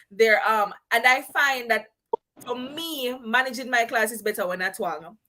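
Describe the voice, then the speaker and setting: Her fairly high-pitched voice has a bright, sharp tone as the woman speaks at a fairly slow pace with ordinary pitch variation. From Jamaica. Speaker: schoolteacher. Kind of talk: casual chat.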